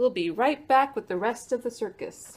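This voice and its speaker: A woman at a high pitch does a put-on character voice, moving at a moderate pace. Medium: read story.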